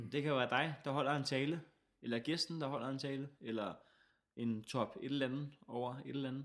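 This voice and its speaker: Captured in a very clean recording with a silent background, an unremarkable speaking voice moves at a moderate pace with fairly even intonation. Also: man, fairly high pitch for a man. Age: 20s. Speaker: comedian and radio host. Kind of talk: casual chat.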